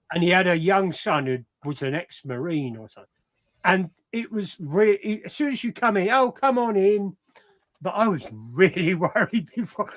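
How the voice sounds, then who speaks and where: With a southern English accent, a man speaks at a moderate pace in a high voice. His pitch swings very widely and his loudness rises and falls in big swings. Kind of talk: casual chat. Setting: live stream video call.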